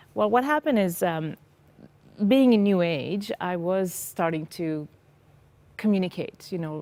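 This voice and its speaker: Lively intonation runs through this woman's medium-pitched voice, delivered with an Israeli accent. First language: Hebrew. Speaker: former psychotherapist sharing faith testimony. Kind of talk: testimony interview. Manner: halting.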